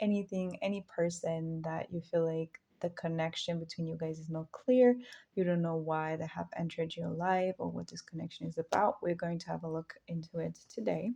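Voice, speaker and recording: A woman talks with a non-native accent and a dark, mellow tone. Her intonation is fairly even. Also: fairly low pitch for a woman, moderate pace. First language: not English. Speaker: tarot reader. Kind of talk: tarot reading to camera. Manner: casual, with frequent fillers.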